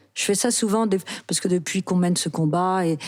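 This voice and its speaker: Speaking at a fairly quick pace, a woman has a dark, mellow tone, a fairly low pitch and ordinary pitch variation. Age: 60s. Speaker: actress. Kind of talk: interview.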